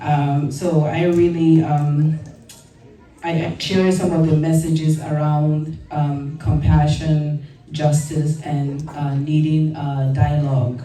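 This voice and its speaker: A woman's very deep, low voice with a West African accent, very slow and fairly even in intonation, with audible room echo and noticeable background noise. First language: a West African language. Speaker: deputy mayor. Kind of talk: ceremonial speech.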